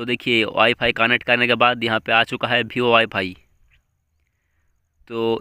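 A bright, sharp tone in a monotone, flat intonation comes through dry with no echo, over a quiet background. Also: man. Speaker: tech channel host. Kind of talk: tutorial. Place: home room. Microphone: phone near.

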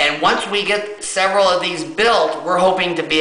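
A man's raised, projected voice with audible room echo. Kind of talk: casual vlog explanation. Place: home room. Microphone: phone near.

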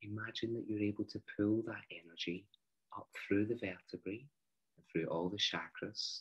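A man's fairly low, somewhat breathy voice at a moderate pace, with fairly even intonation, big swings in loudness and long, frequent pauses, against a quiet background. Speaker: meditation guide. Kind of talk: guided meditation. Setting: online video. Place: home room. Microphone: video call.

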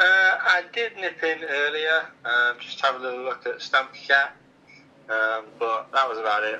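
A man speaks at a fairly slow pace. His intonation is lively. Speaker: caller. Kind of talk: playful phone chat. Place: home room. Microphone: phone line.

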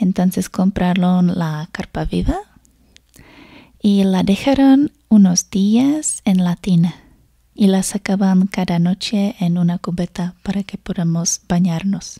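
A soft-spoken, somewhat breathy woman with a dark, mellow tone at a very slow pace, with ordinary pitch variation, against a quiet background. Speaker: foreigner living in a Spanish-speaking country, storyteller. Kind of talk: ASMR storytime, personal anecdote. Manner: soft-spoken, relaxing. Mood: warm, amused. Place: home room. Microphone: studio mic.

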